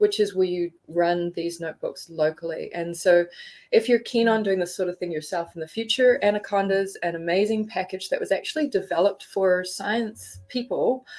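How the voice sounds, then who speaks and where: A woman speaks with a New Zealand accent. Her pitch sits at a medium level. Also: ordinary pitch variation, moderate pace. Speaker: geothermal tutorial instructor. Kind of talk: tutorial. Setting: live stream.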